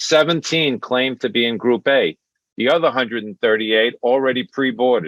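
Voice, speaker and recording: This man has a strong Brooklyn accent. His intonation is lively. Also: medium pitch for a man, moderate pace. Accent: thick Brooklyn. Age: 60s. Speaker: stand-up comedian. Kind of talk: stand-up.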